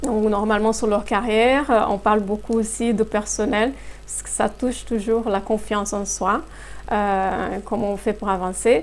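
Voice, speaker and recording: A woman speaks at a fairly slow pace in a Brazilian accent. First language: Portuguese (speaking French). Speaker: human resources consultant. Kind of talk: interview. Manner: hesitant, many fillers.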